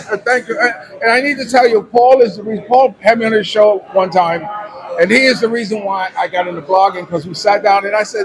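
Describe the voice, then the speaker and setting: A man speaks over noticeable background noise. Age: 60s. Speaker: vlogger. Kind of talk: casual interview. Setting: coffee house.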